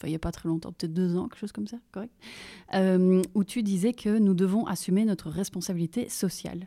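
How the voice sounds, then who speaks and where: Over a very clean recording with a silent background, a woman speaks fairly quickly at medium pitch in a dark, mellow tone with fairly even intonation. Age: 30s. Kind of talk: interview. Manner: halting.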